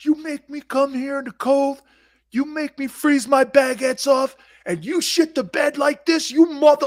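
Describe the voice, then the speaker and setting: Using a put-on character voice, the speaker goes at a moderate pace in a high pitch. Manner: angry, ranting, profane.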